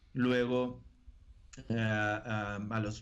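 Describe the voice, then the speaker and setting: A man speaks with a northern Mexican accent. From northern Mexico, Río Bravo, Tamaulipas. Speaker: evangelical preacher. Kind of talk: interview testimony. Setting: video call.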